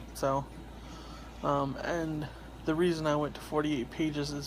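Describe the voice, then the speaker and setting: A quiet man's voice with audible room echo. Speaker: independent comic artist and vlogger. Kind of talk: casual vlog monologue. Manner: hesitant, many fillers.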